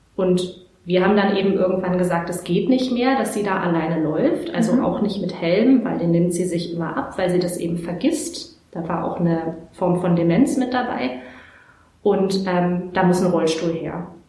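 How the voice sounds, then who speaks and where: The room echo is audible and the background noise noticeable. A woman talks at a moderate pace with medium pitch and ordinary pitch variation. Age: 20s. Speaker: social worker. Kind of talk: interview. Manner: hesitant with many fillers.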